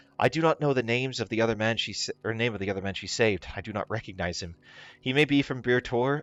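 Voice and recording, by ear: Someone is reading aloud in a natural voice, the pitch shifting in an ordinary way.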